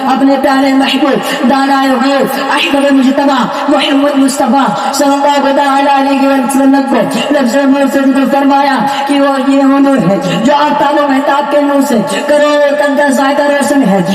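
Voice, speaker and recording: Against noticeable background noise, a man with an extremely high pitch speaks in a passionate tone, yet with monotone, flat intonation and very even loudness. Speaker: Islamic preacher giving a sermon. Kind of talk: religious sermon (bayan) delivered to an audience. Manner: passionate, rhetorical, preacher's oratory.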